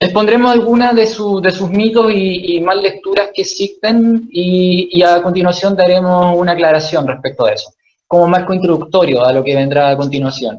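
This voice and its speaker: A man talks at a moderate pace with hardly any pauses. His pitch is high for a man, with ordinary variation. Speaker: author and psychoanalysis lecturer. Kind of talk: lecture.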